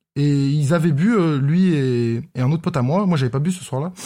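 A man speaks with a fairly high pitch, a dark, mellow tone, and a somewhat breathy quality. His intonation is lively and his pace fairly quick, on a very clean recording with a silent background. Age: 20s. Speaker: podcast guest co-host. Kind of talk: casual chat.

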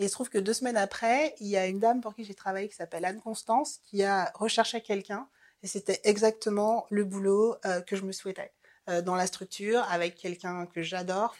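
In a very clean recording with a silent background, a woman with a normal speaking voice talks at a fairly quick pace and medium pitch, her intonation fairly even but her loudness swinging widely. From French Antilles (Marie-Galante, Guadeloupe). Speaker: career changer sharing her story. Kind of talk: personal testimony.

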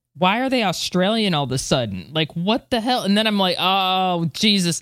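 A woman talks at a fairly quick pace in an American accent, with a medium pitch and ordinary pitch variation. She has an ordinary speaking voice. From United States. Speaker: space podcast co-host. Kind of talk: news reading; casual chat.

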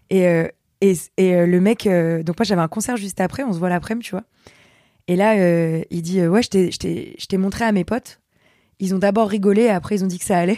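A woman speaks at a moderate pace with a dark, mellow tone, medium pitch and fairly even intonation, pausing long and often. The recording is very clean with a silent background and a dry, close sound with no echo. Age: 20s. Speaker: singer, youtuber and comedian. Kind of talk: casual chat.

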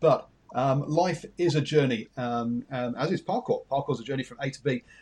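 A man with an English accent and a dark, mellow tone. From England. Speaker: radio host. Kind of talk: interview.

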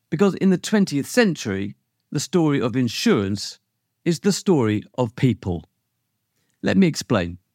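A man with a British accent speaks at a moderate pace and a medium pitch, his pitch swinging very widely. Long pauses come often, and the recording is very clean and dry, close with no echo over a silent background. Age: 50s. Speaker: podcast host and insurance lawyer. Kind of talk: scripted narration.

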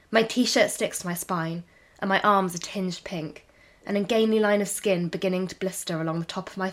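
A passage of reading aloud in a natural voice

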